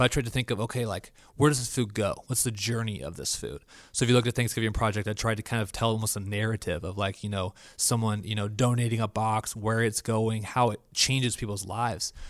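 With an American accent, a man talks very fast in fairly even intonation, on a very clean recording with a silent background. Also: medium pitch for a man. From Florida. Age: 20s. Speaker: church media technician. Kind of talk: casual chat.

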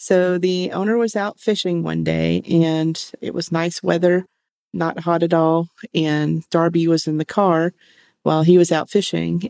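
A woman speaks at a fairly slow pace with a fairly low pitch and fairly even intonation. Her tone is dark and mellow, and the sound is dry and close with no echo. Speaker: veterinary technician podcast co-host. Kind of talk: casual chat.

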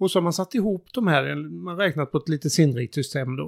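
In a normal speaking voice, a man talks at a fairly quick pace with a fairly high pitch and lively intonation. The sound is dry and close with no echo, on a very clean recording with a silent background. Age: 50s. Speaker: sustainability consultant. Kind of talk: casual chat.

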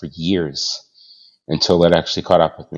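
A man with an American accent speaks in a very deep, low pitch. His intonation stays fairly even. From Boston, US. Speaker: software development manager. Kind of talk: interview.

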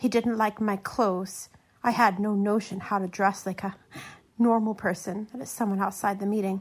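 A woman's somewhat breathy, medium-pitched voice with fairly even intonation at a moderate pace, on a very clean recording with a silent background.

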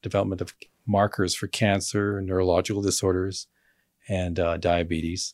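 With a normal speaking voice, a man speaks at a moderate pace and a fairly low pitch, captured in a very clean recording against a silent background. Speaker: doctor and medical professor. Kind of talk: interview on vaccine concerns.

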